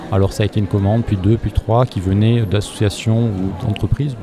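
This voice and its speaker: Over noticeable background noise, a man talks at a fairly quick pace in a fairly low pitch with monotone, flat intonation. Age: 30s. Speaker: charity founder. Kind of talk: interview. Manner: halting.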